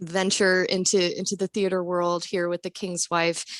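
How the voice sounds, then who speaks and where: The sound is dry and close with no echo as a woman speaks at a medium pitch. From Florida, West Palm Beach. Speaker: songwriter. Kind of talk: interview.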